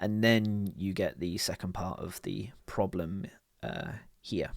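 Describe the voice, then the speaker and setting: This man has a British accent and ordinary pitch variation. The recording is very clean, with a silent background. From United Kingdom. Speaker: programmer. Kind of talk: coding tutorial walkthrough.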